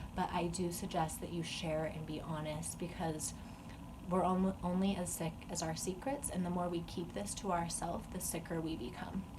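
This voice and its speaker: In a room with audible echo and noticeable background noise, a woman speaks at a moderate pace in a fairly low pitch with ordinary pitch variation. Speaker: vlogger sharing eating disorder recovery. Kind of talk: personal vlog monologue. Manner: casual with fillers.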